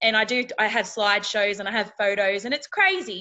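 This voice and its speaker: With a rural Australian accent, a woman talks at a moderate pace in a fairly high voice. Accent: country Australian twang. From outback Australia. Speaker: reality TV contestant and keynote speaker. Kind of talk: interview chat. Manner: animated.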